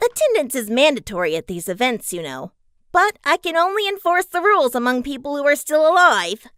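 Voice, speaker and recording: A cartoonish character voice rings out at a high pitch and a fairly quick pace, theatrical in tone, with very wide pitch swings. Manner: cheery, theatrical, mocking.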